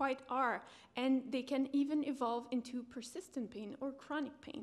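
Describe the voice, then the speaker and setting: A very clean recording, silent background, carries a voice with ordinary pitch variation. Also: woman. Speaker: PhD researcher presenting. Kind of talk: conference presentation. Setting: conference room with audience.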